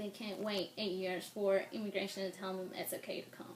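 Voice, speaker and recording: Speaking at a fairly quick pace, a woman with a Spanish accent is heard amid noticeable background noise and audible room echo. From Mexico. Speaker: interviewee, immigrant. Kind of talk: interview.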